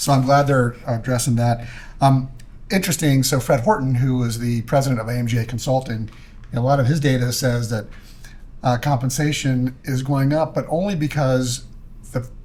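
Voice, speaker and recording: The voice is somewhat breathy, moving at a moderate pace with fairly even intonation. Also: man, medium pitch for a man. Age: 60s. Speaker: podcast host. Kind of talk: casual chat.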